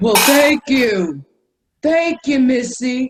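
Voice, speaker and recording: The put-on character voice has a high pitch. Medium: stage play.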